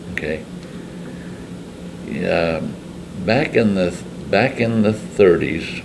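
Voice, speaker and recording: Over noticeable background noise, a man with an American accent talks at a very slow pace in a very deep, low voice. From Lindsborg, Kansas. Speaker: Korean War veteran. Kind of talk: interview answer. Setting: American Legion hall.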